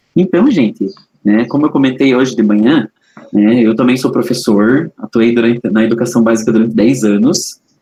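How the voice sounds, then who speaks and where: In a Paraná accent, the speaker moves at a moderate pace with a dark, mellow tone and very even loudness. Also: man, medium pitch for a man, ordinary pitch variation. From Paraná, southern Brazil. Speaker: educational trainer. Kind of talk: online training lecture.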